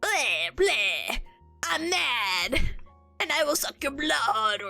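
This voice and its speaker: A put-on character voice with a high pitch speaks at a very slow pace over faint background music. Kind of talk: playful, mocking. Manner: angry, growling.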